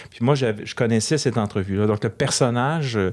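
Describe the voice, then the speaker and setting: A man with an unremarkable speaking voice talks at a fairly quick pace. His pitch varies in an ordinary way. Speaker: film director. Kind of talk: interview.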